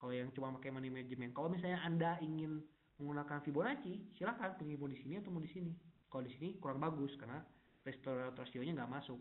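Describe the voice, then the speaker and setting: The pace is very fast. Pitch variation is ordinary. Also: man, fairly high pitch for a man. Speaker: forex technical analyst presenting webinar; presenter. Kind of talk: webinar tutorial. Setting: online webinar. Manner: casual, many fillers. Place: home room. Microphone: unstable internet connection; webcam.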